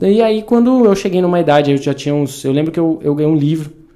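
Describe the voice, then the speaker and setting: A man speaks with a dark, mellow tone and lively intonation. His pitch is fairly high. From interior of São Paulo state, Brazil. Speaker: triathlete. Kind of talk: casual chat.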